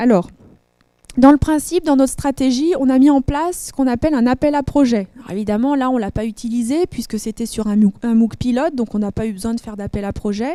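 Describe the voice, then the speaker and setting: A dark, mellow tone comes at a fairly quick pace with ordinary pitch variation. The sound is dry and close, with no echo. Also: woman, high pitch for a woman. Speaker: instructional designer. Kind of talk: conference presentation. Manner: fast.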